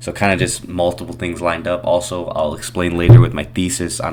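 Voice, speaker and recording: Noticeable background noise under a man's very deep, low voice at a fairly quick pace. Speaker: day trader sharing market recaps. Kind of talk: screen-share trading tutorial. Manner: fast; casual.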